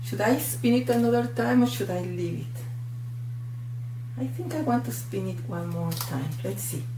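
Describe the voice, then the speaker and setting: Someone with a Mexican accent speaks at a moderate pace against noticeable background noise. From Mexico. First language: Spanish. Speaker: art tutorial creator. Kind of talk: tutorial. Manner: animated.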